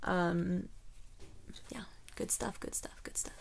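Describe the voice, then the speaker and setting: The tone is animated. It belongs to a woman. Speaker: vlogger and coach. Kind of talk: casual vlog monologue.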